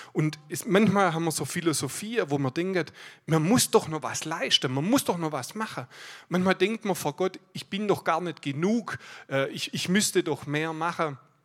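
A man talks at a moderate pace in a high voice, his pitch varying in an ordinary way. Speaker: guest preacher. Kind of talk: sermon. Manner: animated.

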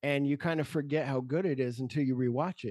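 A normal speaking voice from a man at medium pitch, fairly quick in pace, with ordinary pitch variation. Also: dry, close sound with no echo. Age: 50s. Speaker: podcaster. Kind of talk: casual chat.

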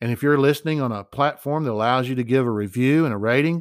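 On a very clean recording with a silent background, a man at medium pitch speaks fairly quickly in an unremarkable speaking voice with ordinary pitch variation. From United States. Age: 50s. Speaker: podcast host. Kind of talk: opinion monologue. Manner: conversational.

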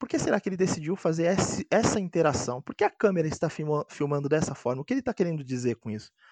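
A man's fairly high voice races along at a very fast pace, with very wide pitch swings. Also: dry, close sound with no echo. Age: 20s. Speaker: board game designer. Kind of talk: casual chat. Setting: video call. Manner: halting.

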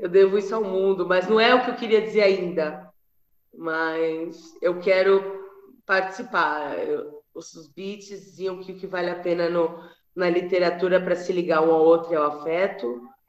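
A plain, everyday voice: a woman at a medium pitch and fairly slow pace, with fairly even intonation and big swings in loudness. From São Paulo city, Brazil. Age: 40s. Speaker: poet. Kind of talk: casual chat. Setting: video call.

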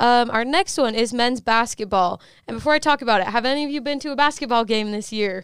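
On a very clean recording with a silent background, a woman talks at a very fast pace in a high pitch. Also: ordinary pitch variation. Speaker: student newspaper editor in chief. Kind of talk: casual chat.

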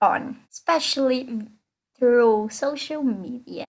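A woman with a non-native accent speaks at a high pitch. The background is quiet. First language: not English. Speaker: podcast host. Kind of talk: casual chat.

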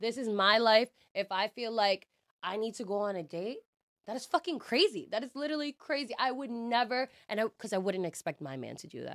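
A woman with an ordinary speaking voice talks fairly fast at a fairly high pitch, with lively intonation and big swings in loudness. The recording is very clean and dry, close with no echo over a silent background. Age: 20s. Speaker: bartender. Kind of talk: casual chat.

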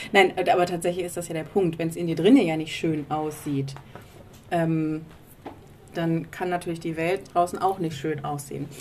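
Amid noticeable background noise, a woman with a fairly low pitch talks at a moderate pace with fairly even intonation and long, frequent pauses. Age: 30s. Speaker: podcast co-host, career mentor. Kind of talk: casual chat. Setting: outdoors on a balcony.

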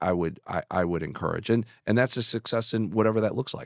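The recording is very clean, with a silent background. A man speaks with an American accent and ordinary pitch variation. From Chicago. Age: 50s. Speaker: business executive. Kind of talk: casual interview.

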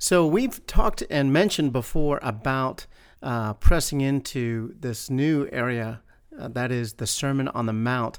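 Here is a man with an ordinary speaking voice at a medium pitch, talking at a fairly slow pace with ordinary pitch variation. The recording is very clean, with a silent background. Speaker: church minister podcast host. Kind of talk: casual faith discussion. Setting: church campus.

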